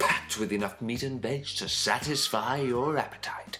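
Music is playing behind him. The man's voice sits at a medium pitch. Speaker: voice actor.

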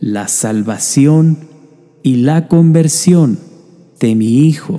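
With music in the background, a man speaks in a solemn tone at a very slow pace, his fairly high pitch showing ordinary pitch variation. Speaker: prayer narrator. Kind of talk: prayer reading, devotional narration. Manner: slow, solemn, pleading.

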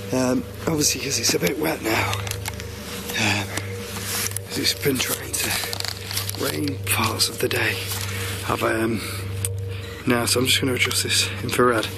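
Music plays in the background of a dry recording with no echo as a man talks fairly slowly, with long, frequent pauses and ordinary pitch variation. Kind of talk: casual vlog chat. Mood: hushed, eerie, slightly nervous. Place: open country. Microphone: phone near.

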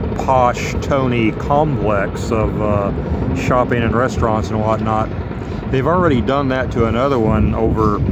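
In a dry recording with no echo but loud background noise, the speech goes at a fairly slow pace with ordinary pitch variation. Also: man. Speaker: travel vlogger. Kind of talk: casual vlog chat. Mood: wry, amused. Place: street. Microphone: phone near.

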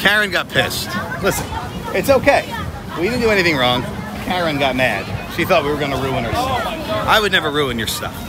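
Crowd noise runs behind a man speaking at a fairly quick pace, the sound dry with no echo. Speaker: vlogger. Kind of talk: casual vlog chat. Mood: amused, joking. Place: street. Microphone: phone near.

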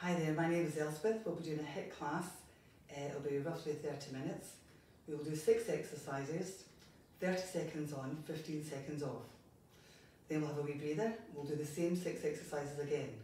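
A woman's very deep, low voice carries fairly even intonation with long, frequent pauses. Audible room echo and light background noise surround her. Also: moderate pace. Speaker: fitness instructor. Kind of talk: exercise class instruction. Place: home room. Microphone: camera far.

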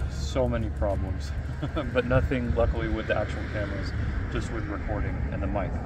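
Music can be heard in the background. Over it, a man speaks at a fairly quick pace. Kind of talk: tutorial. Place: open country. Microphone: phone near.

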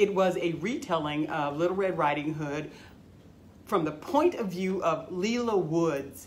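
With a normal speaking voice, a woman of fairly low pitch speaks at a moderate pace and shows ordinary pitch variation. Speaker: library storyteller. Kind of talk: dramatic monologue in character as a retired forest worker, then a library tutorial. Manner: folksy, wry storytelling with a knowing, steely edge.

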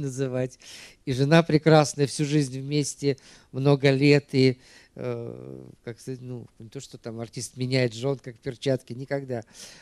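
A man at a medium pitch with a dark, mellow tone, speaking at a fairly slow pace against a quiet background. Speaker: film club host; moderator of the film club meeting. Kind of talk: public Q&A moderation. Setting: stage with audience. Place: hall. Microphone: handheld.

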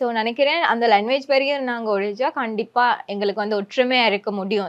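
A woman speaks with a Sri Lankan accent. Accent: Sinhala-accented Sri Lankan Tamil. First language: Sinhala (speaking Tamil). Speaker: social media influencer. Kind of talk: interview.

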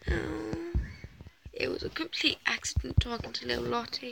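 A woman puts on a character voice with vocal fry, a high pitch and a fairly bright tone. She keeps a moderate pace over faint background noise. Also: ordinary pitch variation.

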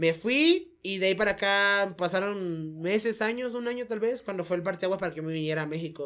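At a fairly quick pace and with hardly any pauses, a woman talks in an ordinary speaking voice of medium pitch with ordinary pitch variation. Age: 30s. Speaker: professional wrestler. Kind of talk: casual chat.

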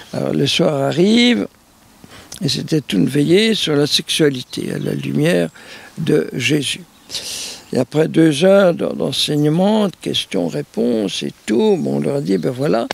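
A man's very slow speech with long, frequent pauses, in a dry sound with no echo. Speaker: priest. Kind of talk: interview answer, storytelling. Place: garden.

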